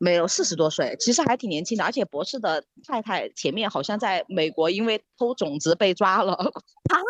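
This woman uses a normal speaking voice at medium pitch and a moderate pace, with hardly any pauses and a dry, close sound with no echo. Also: lively intonation. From Sichuan. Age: middle-aged. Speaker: podcast guest. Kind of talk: casual chat.

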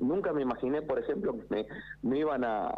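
The man talks at a fairly quick pace. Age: 40s. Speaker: builder. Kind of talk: phone interview. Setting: phone call. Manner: halting.

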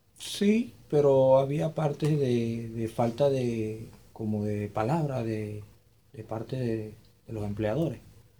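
A man talks at a very slow pace in a medium pitch with ordinary pitch variation. His voice is somewhat breathy, with a dark, mellow tone. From Venezuela, Maturín, Monagas (eastern Venezuela). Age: 20s. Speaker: migrant telling his story. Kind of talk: interview testimony. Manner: halting, many repetitions.

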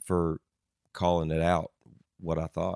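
A man with a slight Southern US accent is heard in a dry, close sound with no echo. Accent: slight Southern twang. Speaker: country band musician. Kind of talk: casual chat.

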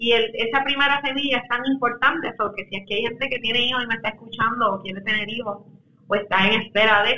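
A woman speaks in a plain, everyday voice. She is fairly high-pitched and talks at a fairly quick pace. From Puerto Rico. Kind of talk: interview.

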